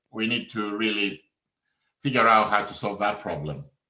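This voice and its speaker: A man speaks at a moderate pace in a bright, sharp tone, with audible room echo. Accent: Greek. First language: Greek. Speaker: professor. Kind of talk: conference talk. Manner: halting.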